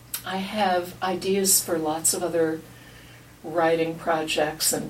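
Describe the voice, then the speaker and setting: Noticeable background noise mixes with audible room echo throughout the clip. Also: woman. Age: 70s. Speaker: retired writer and blogger, interview participant. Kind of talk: life story interview. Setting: recorded research interview. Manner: animated.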